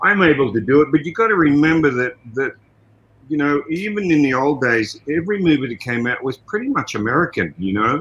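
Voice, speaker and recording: At a fairly quick pace, the voice moves through very wide pitch swings. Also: man. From Australia. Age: 70s. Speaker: martial artist and actor, fight coordinator. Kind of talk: casual interview chat.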